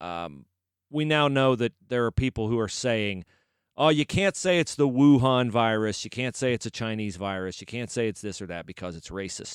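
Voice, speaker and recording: A man talks at a medium pitch and a moderate pace in an unremarkable speaking voice, his intonation lively. The recording is very clean with a silent background and a dry, close sound with no echo. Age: 40s. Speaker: sports podcast co-host. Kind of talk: casual chat.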